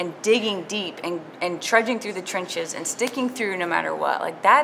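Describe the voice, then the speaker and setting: Over light background noise, a woman with an American accent speaks with lively intonation. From Southern United States. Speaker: stand-up comedian. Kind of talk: interview answer. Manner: casual, slangy. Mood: earnest, warm. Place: cafe. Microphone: lapel.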